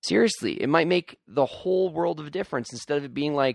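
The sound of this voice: A man talks at a fast pace with vocal fry. His pitch is fairly high, with ordinary pitch variation.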